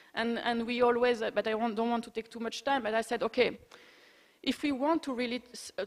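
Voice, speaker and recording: With a high pitch, a woman talks using ordinary pitch variation. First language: not English. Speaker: heritage protection expert, conference speaker. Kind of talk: conference Q&A discussion. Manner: halting.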